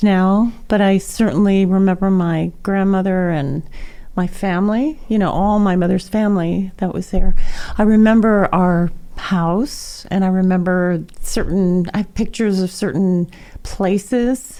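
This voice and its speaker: A woman with a medium-pitched voice speaks at a fairly slow pace with fairly even intonation. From New Jersey, US (born in Japan, moved at five). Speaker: singer and musician. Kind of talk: interview.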